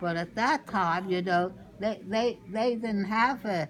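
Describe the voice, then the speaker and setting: Very slowly, a woman speaks over music in the background. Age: 80s+. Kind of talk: family storytelling interview answer.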